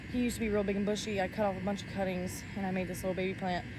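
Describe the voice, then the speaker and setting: A somewhat breathy woman's voice with audible room echo. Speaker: plant content creator. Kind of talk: casual tutorial vlog. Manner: fast.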